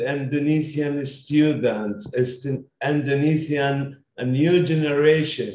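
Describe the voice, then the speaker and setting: A man's somewhat breathy voice sits fairly high in pitch, delivered with monotone, flat intonation. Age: 50s. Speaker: education consultancy founder. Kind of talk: interview. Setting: video call.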